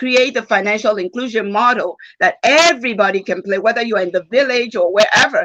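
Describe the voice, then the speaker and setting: With a Nigerian accent, a woman talks at a fairly quick pace in a fairly high pitch, her tone animated and her intonation lively. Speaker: former bank executive, conference speaker. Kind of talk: panel discussion answer.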